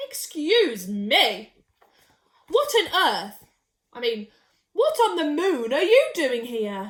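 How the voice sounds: Putting on a character voice, a woman speaks slowly at a high pitch with big pitch swings.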